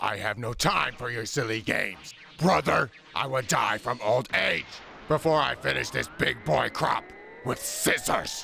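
A raspy man at medium pitch talks at a moderate pace with lively intonation over clear background noise. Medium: comedy sketch. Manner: dismissive, cocky.

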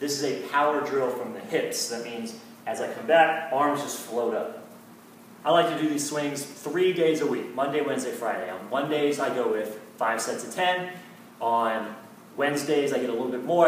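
Lively intonation marks this man's speech at a moderate pace. Audible room echo and light background noise accompany him. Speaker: fitness coach. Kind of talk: tutorial. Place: gym. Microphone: camera far.

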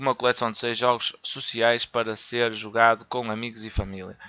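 Bright and sharp in tone, a man with a European Portuguese accent speaks at a moderate pace, the sound dry and close with no echo. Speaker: gaming YouTuber. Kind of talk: news reading; casual commentary. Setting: voice-over on gameplay footage. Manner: halting, with fillers and repetitions.

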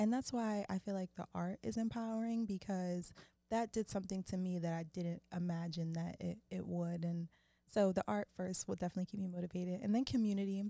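Against a quiet background, a woman with an American accent speaks at a fairly quick pace in a dark, mellow tone with ordinary pitch variation and a dry sound with no echo. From Philadelphia, US. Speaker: actress. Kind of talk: casual chat. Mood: reflective, relaxed. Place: studio. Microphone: studio mic.

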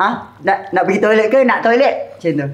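A man with a high voice speaks at a very fast pace, with audible echo in the room. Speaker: YouTuber, cooking show host. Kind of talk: casual chat; casual banter. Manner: animated. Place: studio.

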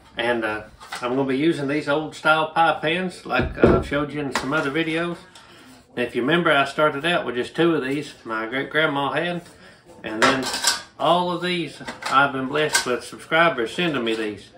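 A man talks at a moderate pace with ordinary pitch variation against noticeable background noise. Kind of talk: cooking tutorial. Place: kitchen. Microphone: camera far.

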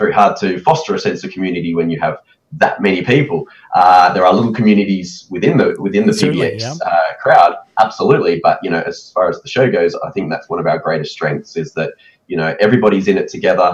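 A man with an Australian accent at a very fast pace, with big swings in loudness. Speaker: photo booth expo organizer; guest. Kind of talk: casual interview. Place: home room.

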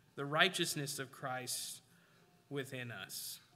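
This man's voice has a bright, sharp tone and fairly high pitch, moving at a very slow pace. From Alaska. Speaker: preacher. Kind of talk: sermon. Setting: church. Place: church.

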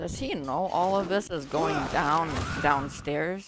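The speaking moves along fairly slowly. Behind it, music is playing. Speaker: gaming youtuber. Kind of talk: let's play commentary. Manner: soft-spoken, keeping voice down; animated.

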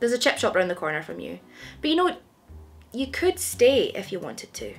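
A woman talks at a fairly quick pace, her loudness swinging widely. Music plays in the background. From Scotland. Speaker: comedian. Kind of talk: comedy sketch dialogue. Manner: fast, confident, deducing. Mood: deductive, mock-detective quizzing. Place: home room.

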